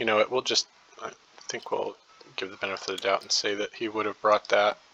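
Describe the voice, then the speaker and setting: A man talking at a very fast pace, with noticeable background noise and a dry, close sound with no echo. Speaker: board game player narrating a replay. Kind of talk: casual game commentary. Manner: hesitant, many fillers.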